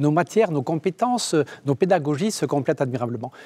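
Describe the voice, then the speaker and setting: A fairly high-pitched male voice in a Basque-Béarnais accent, lively in intonation and fairly quick, on a very clean recording with a silent background and a dry, close sound with no echo. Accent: Basque-Béarnais French, lasting. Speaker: engineering school director. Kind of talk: TV interview.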